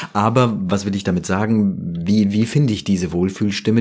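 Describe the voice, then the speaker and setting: Delivery proceeds at a moderate pace. Pitch shifts in an ordinary way. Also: man. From Germany, Rüsselsheim (Hesse). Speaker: professional voice-over artist. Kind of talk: interview. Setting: studio. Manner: polished, professional.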